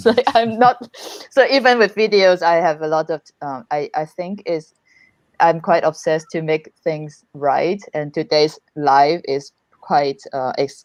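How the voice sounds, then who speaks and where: Her intonation lively, a woman speaks at a fairly slow pace and fairly low pitch, the sound dry and close with no echo. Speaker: YouTuber. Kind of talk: casual chat. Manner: halting.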